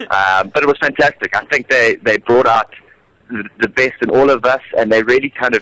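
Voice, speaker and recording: Speaking with a South African accent, a man has a medium pitch, a bright, sharp tone, fairly even intonation and a moderate pace, with a dry, close sound and no echo. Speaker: musical theatre actor. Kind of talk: radio interview. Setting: radio studio. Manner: hesitant, many fillers and repeats.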